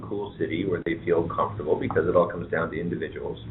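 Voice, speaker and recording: Someone with a Canadian accent talks at a very fast pace. Music plays in the background, and audible room echo fills the space. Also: man. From southwestern Ontario, Canada (London, Ontario). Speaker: head of an economic development agency. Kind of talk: radio talk show interview.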